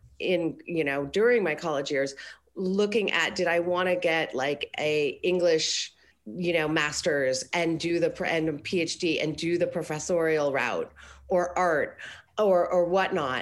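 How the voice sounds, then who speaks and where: An unremarkable speaking voice from a woman with an American accent, fairly low in pitch with ordinary pitch variation, at a fairly slow pace. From Colorado, US. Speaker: business coach. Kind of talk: casual interview.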